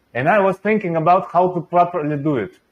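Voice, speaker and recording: Speaking in a Russian accent, a man uses a high pitch with ordinary pitch variation. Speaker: venture investor and channel host. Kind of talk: interview.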